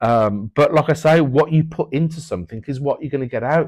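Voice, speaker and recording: A man's unremarkable speaking voice at a moderate pace, with ordinary pitch variation. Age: 40s. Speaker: builder and part-time trader. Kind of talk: casual interview chat.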